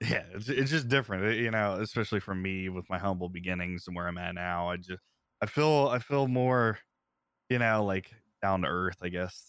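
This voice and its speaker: A man with an American accent and a normal speaking voice, fairly low in pitch, with ordinary pitch variation, a moderate pace and a very clean recording with a silent background. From Ohio. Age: 30s. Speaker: streamer and content creator. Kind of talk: casual interview chat.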